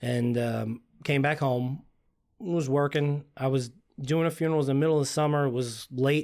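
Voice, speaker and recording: A man at a moderate pace, with very even loudness and fairly even intonation. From Long Island, New York. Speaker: funeral director. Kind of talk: casual chat.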